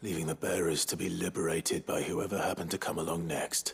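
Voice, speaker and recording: A man puts on a character voice, very deep and low in pitch. He talks at a very fast pace with monotone, flat intonation. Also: very even loudness. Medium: video game. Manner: steady, low-key.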